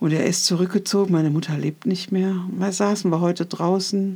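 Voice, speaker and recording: In a very clean recording with a silent background, a woman speaks at a moderate pace with a medium pitch, a somewhat breathy, dark, mellow tone, and fairly even intonation. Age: 60s. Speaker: podcaster. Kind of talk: personal monologue. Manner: reflective.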